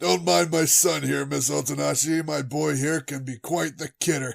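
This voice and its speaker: Putting on a raspy character voice, a man speaks at a medium pitch and a moderate pace. His intonation is lively. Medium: audio drama. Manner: casual, hearty.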